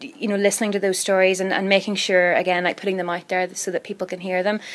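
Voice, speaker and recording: This woman talks at a very fast pace with a Northern Irish accent. Her pitch sits in the medium range, and her intonation stays flat and monotone. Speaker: radio newsreader and journalist. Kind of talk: interview. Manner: conversational, fast with many fillers; posh newsreader voice on air, different off air.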